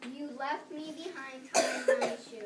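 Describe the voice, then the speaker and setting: A put-on character voice, high-pitched and at a fairly slow pace. Loud background noise and a slight echo surround it. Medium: stage play. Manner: playful, rhyming.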